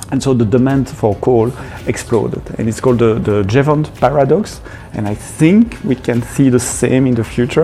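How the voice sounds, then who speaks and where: A man with a medium pitch keeps a moderate pace against noticeable background noise. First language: not English. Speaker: developer advocate. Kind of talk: podcast interview. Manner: hesitant, many fillers and repeats.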